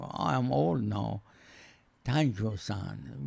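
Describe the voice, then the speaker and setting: Dark and mellow in tone, the voice moves along at a very slow pace. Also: man. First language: non-English. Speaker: host's father. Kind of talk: casual chat.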